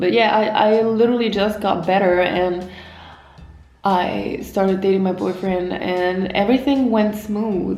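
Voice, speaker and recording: Speaking slowly with a non-native accent, a woman keeps a medium pitch and fairly even intonation while audible room echo and noticeable background noise surround her. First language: not English. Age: 20s. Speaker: vlogger. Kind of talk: personal story vlog. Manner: halting, self-correcting.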